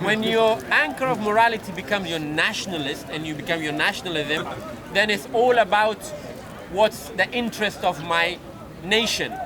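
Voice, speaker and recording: Against crowd noise and audible room echo, a man uses a raised, projected voice at a high pitch, with ordinary pitch variation and a moderate pace. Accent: non-native. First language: not English. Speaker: street debater. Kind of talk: heated debate. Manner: halting; impassioned.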